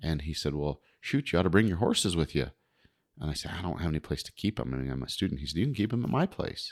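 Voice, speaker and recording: A man's very deep, low voice with vocal fry and an American accent, very fast and lively in intonation, in a dry, close sound with no echo. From US West, Wind River Reservation, Wyoming. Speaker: fishing guide and psychologist. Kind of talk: casual interview.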